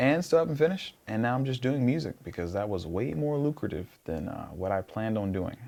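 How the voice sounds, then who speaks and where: Lively in intonation, a man speaks at a fairly quick pace with an American accent. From US South, southeast Georgia (Blackshear). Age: 20s. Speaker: singer-songwriter. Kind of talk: casual interview chat. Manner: animated, storytelling.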